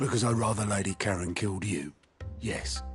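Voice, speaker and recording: A raspy put-on character voice at a fairly quick pace, with faint music in the background. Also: man, fairly low pitch for a man. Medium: video game. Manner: dry, wry.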